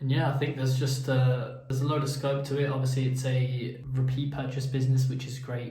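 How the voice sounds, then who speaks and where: Audible room echo surrounds a man talking at a very fast pace and medium pitch. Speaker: vlogger and small business owner. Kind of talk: casual vlog monologue. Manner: halting, many filler words.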